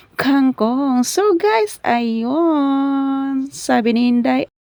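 A woman is speaking. Her voice sits at a high pitch. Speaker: cooking vlogger. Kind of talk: cooking tutorial. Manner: casual.

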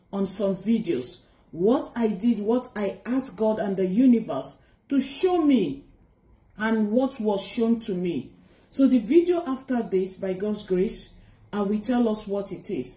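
A woman talks at a fairly slow pace, somewhat breathy. Audible room echo surrounds her voice. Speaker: spiritual vlogger. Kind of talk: casual vlog chat. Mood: warm, earnest. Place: home room. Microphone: phone near.

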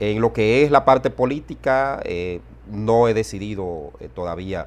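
A man talks at a fairly slow pace. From Dominican Republic, Dajabón border area; Dominican Republic. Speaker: journalist and political analyst; journalist, political analyst. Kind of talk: interview. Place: home room. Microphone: lapel.

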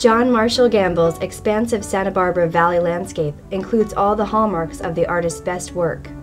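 Music plays in the background. The speaker keeps a moderate pace with ordinary pitch variation. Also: woman. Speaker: fine art specialist at an auction house. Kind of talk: corporate narration, auction sale promo.

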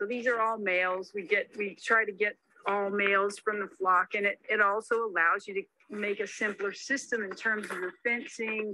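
A woman's bright, sharp voice at medium pitch. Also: fairly even intonation, moderate pace.

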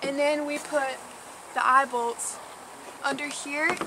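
A woman's voice comes through over loud background noise. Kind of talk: tutorial. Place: farm machine. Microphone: phone near.

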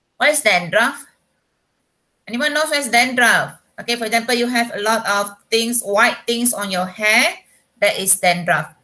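In a quiet background, a woman speaks with a bright, sharp tone at a fairly high pitch and lively intonation. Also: moderate pace. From Malaysia. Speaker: secondary school English teacher. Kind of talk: online class lesson. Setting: video call. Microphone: webcam.

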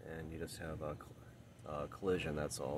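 Dry, echo-free sound with ordinary pitch variation, a moderate pace and light background noise. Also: man. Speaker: car owner vlogger. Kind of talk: casual vlog chat. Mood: wry, mildly frustrated. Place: street. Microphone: phone near.

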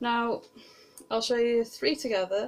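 A woman with a British accent speaks at a moderate pace. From Britain. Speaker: book vlogger. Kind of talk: casual vlog monologue. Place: home room. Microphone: webcam.

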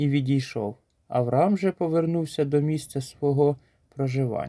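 With a dark, mellow tone, a man talks fairly slowly. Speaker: preacher. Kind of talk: short sermon with scripture reading. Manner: earnest, exhortative.

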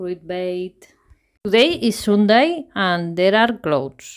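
A woman with a Spanish accent speaks with ordinary pitch variation. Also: quiet background. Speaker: travel vlogger. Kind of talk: casual travel vlog narration. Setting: outdoors. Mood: cheerful, enthusiastic. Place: car. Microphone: phone near.

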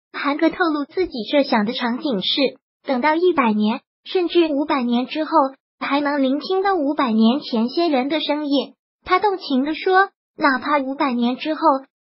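Ordinary pitch variation at a moderate pace, from a woman with a high voice. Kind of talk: news narration.

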